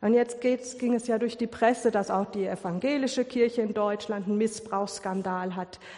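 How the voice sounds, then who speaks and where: A woman with an unremarkable speaking voice and a fairly high pitch talks at a moderate pace with fairly even intonation. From Ruhr area, Germany. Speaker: lay preacher. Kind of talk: sermon.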